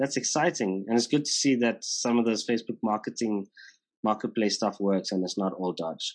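A South African accent at a moderate pace, ordinary pitch variation, quiet background. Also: man, medium pitch for a man. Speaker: podcast host. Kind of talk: casual interview. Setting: video call.

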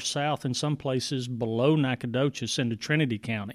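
A man with a Texan accent and fairly even intonation, in a very clean recording with a silent background. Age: 50s. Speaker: county judge. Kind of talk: casual interview. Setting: courtroom.

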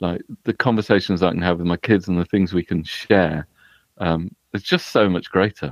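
A man with a British accent speaks at a moderate pace in a very deep, low pitch with fairly even intonation. The sound is dry and close, with no echo, over a quiet background. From UK. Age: 40s. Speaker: writer. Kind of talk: casual chat.

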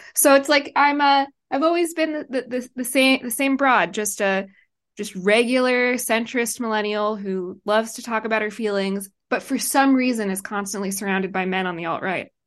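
Against a quiet background, a woman with an ordinary speaking voice talks at a moderate pace with a fairly high pitch and ordinary pitch variation. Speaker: writer and online commentator. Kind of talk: casual banter interview. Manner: joking, laughs often.

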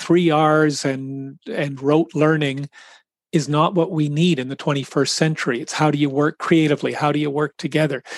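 A man with a Canadian accent and an ordinary speaking voice talks at a moderate pace in a fairly high pitch, the sound dry and close with no echo against a quiet background. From Canada. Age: 60s. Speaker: children's charity executive. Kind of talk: interview.

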